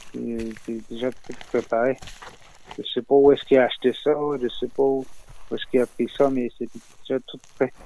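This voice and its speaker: A man speaks at a moderate pace and medium pitch, leaving long, frequent pauses. His intonation is monotone and flat, while his loudness swings widely. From Lower North Shore, Quebec (Innu community). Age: 30s. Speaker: Innu community member. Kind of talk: interview testimony. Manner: halting.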